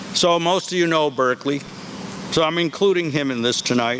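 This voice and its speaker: A man's fairly high voice with ordinary pitch variation, at a moderate pace, over noticeable background noise. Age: 70s. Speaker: school head. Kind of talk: commencement speech. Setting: outdoors with audience.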